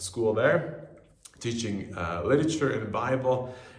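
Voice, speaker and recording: A man's voice, at a moderate pace with ordinary pitch variation, carries audible room echo and noticeable background noise. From US Southwest, Albuquerque, New Mexico. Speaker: missionary. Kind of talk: personal video greeting.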